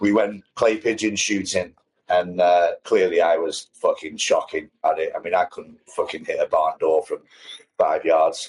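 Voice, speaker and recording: A man speaks with a northern English accent. His pace is fairly slow. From northern England. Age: 50s. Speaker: podcast co-host. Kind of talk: casual chat.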